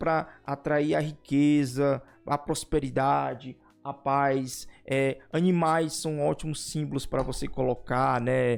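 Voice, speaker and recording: Music sits behind a man with a fairly high pitch. He speaks at a very slow pace with fairly even intonation. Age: 40s. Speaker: youtuber and teacher. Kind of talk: casual vlog talk.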